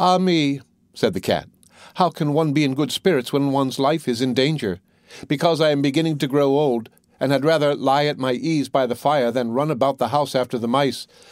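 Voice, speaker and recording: This is a man with a plain, everyday voice, pitched fairly high. He talks fairly quickly with ordinary pitch variation and very even loudness. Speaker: audiobook narrator. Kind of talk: bedtime storytelling, scripted fairy-tale narration read aloud.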